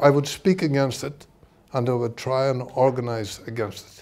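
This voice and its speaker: A man's medium-pitched voice with a Northern Irish accent, big swings in loudness, ordinary pitch variation and a moderate pace. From Northern Ireland. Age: 70s. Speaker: author and socialist activist. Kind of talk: book launch talk. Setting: event with audience.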